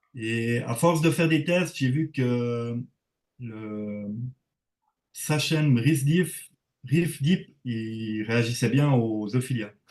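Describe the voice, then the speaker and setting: In a Swiss accent, a man speaks at a very slow pace with long, frequent pauses and ordinary pitch variation. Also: medium pitch for a man. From Switzerland. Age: 40s. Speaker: reef aquarium hobbyist. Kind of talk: casual interview. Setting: livestream.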